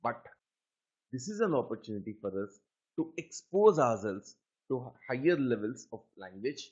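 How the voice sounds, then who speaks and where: In a Telugu accent, a man speaks at a medium pitch with very wide swings up and down. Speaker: aptitude trainer. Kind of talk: lecture.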